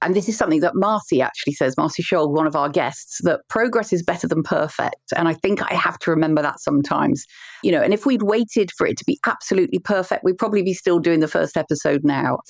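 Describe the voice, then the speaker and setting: A woman with a Dorset accent talks at a very fast pace with hardly any pauses, her medium-pitched voice showing lively intonation and very even loudness in a dry, close recording with no echo. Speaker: podcast co-host. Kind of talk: casual chat.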